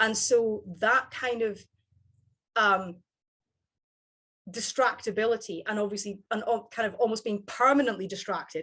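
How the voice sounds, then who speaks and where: A woman with a Scottish accent speaks at a moderate pace and a fairly high pitch. Her intonation is fairly even, and she takes long, frequent pauses. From Scottish Highlands. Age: 30s. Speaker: psychology lecturer. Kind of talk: interview. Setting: video call. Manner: halting, many fillers and restarts.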